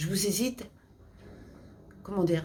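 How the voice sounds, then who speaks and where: An animated woman at medium pitch, with ordinary pitch variation and audible room echo. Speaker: YouTuber giving health tips. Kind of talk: casual vlog advice.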